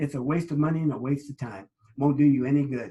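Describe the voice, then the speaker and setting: A man's voice with a dark, mellow tone. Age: 70s. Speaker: network marketing presenter. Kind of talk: sales pitch. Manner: halting, many fillers; animated.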